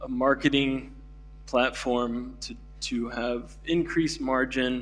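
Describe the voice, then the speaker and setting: With music in the background and audible room echo, a man speaks at a very slow pace in an American accent. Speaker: keynote speaker, denim industry. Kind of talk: conference keynote talk. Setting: conference stage with audience. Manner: many fillers, halting.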